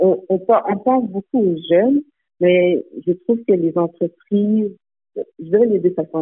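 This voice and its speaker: Her pitch medium and varying in an ordinary way, a woman speaks at a very slow pace. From Montreal, Quebec. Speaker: nonprofit founder and executive director. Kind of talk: radio interview. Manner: halting, many hesitations.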